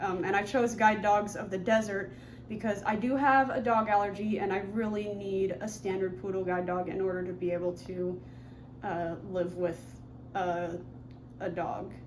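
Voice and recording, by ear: A woman speaks at a medium pitch and a moderate pace. Her intonation stays fairly even.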